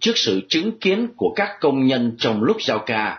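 A man's somewhat breathy, medium-pitched voice at a fairly slow pace, with very wide pitch swings. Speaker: radio news presenter. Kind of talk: news reading.

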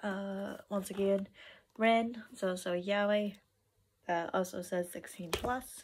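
Her pace is very slow, her pitch medium, and her intonation fairly even. A woman speaks over light background noise. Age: 20s. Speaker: vlogger. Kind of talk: casual haul video. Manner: hesitant, many fillers. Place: home room. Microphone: phone near.

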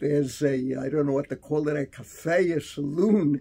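A man with an American accent speaks at a fairly slow pace, his voice fairly high and somewhat breathy. His tone is dark and mellow, with ordinary pitch variation. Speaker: rabbi and teacher. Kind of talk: storytelling in interview. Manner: reminiscing, conversational. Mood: warm, smiling, reminiscing. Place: office. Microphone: phone near.

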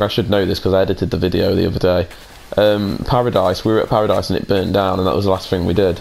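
Talking at a very fast pace with a British accent, a man sounds fairly low in pitch over noticeable background noise. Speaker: gaming YouTuber. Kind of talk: casual gameplay chat. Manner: jokey, animated.

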